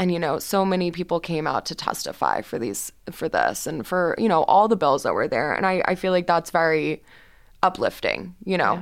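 With an American accent, a woman talks at a moderate pace in a fairly low pitch with vocal fry and ordinary pitch variation, on a very clean recording with a silent background. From Texas, Houston. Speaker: student journalist. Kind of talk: interview. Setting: studio.

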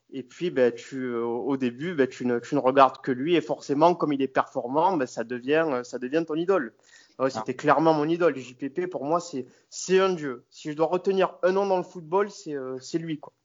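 Slow-paced and fairly high for a man, his voice shows ordinary pitch variation. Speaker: football fan guest. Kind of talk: casual chat. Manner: halting.

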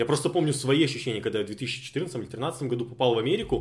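Breath is somewhat audible in the man's voice. He talks very fast. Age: 20s. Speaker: podcast co-host. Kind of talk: casual podcast conversation.

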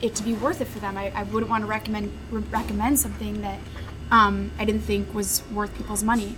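Noticeable background noise and audible room echo are in the recording. A woman talks at a moderate speed. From Chicago area. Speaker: former restaurant critic. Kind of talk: interview over lunch. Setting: restaurant.

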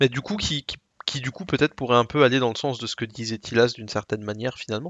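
Here a man talks at medium pitch and a fairly quick pace. His pitch varies in an ordinary way. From Alsace, France. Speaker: gaming podcast co-host. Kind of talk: casual chat.

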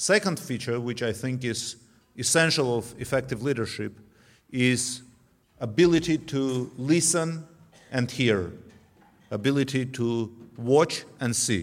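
With an Armenian accent, a man speaks at a medium pitch and a fairly slow pace. His pitch varies in an ordinary way, broken by long, frequent pauses. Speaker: former defense minister. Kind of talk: tribute speech. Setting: banquet hall.

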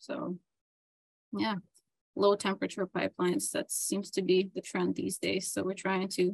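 A woman at medium pitch with vocal fry and ordinary pitch variation, moderate pace, dry and close with no echo. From Ukraine, Dnipro. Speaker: metallurgy lab manager. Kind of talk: interview.

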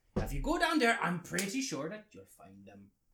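Putting on a gruff character voice, a man swings his pitch very widely. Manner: gruff, then warmer.

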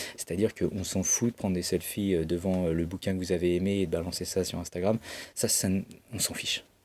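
Fairly quick in pace, a man speaks in a very deep, low pitch with flat, monotone intonation. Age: 40s. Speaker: bookseller. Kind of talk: interview. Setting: bookshop stockroom.

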